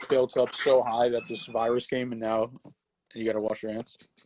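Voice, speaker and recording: In an ordinary speaking voice, a man talks at a fairly quick pace and medium pitch, the sound dry and close with no echo. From New Jersey. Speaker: sports podcast host. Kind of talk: casual interview on instagram live.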